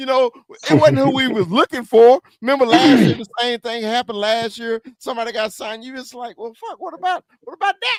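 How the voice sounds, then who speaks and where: With a slight Southern US accent, a man speaks at an extremely high pitch with lively intonation, an animated tone and big swings in loudness, in a dry, close sound with no echo. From US South. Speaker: sports podcast host. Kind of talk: casual chat.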